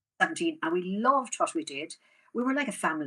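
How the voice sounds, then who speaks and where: Bright and sharp, a woman's voice in a Waterford Irish accent moves through very wide pitch swings. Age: 70s. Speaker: rural theatre manager. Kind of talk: casual interview chat.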